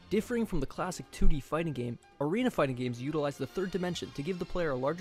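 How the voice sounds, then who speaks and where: Over music in the background, a man talks at a very fast pace with a fairly high pitch. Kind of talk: video essay narration.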